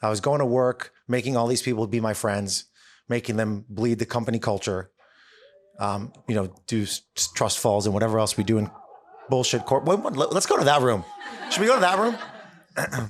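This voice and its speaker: A man talks in a plain, everyday voice at a medium pitch. His pace is moderate and his pitch varies in an ordinary way. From Israel, moved to US at nine. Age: 40s. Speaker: speaker and author. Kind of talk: talk to a live audience. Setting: stage with audience. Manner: casual, conversational.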